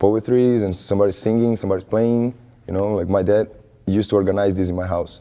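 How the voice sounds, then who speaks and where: Speaking with a Brazilian accent, a man has a fairly low pitch and a dark, mellow tone. His intonation stays fairly even. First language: Portuguese. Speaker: music student and musician. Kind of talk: interview. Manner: halting.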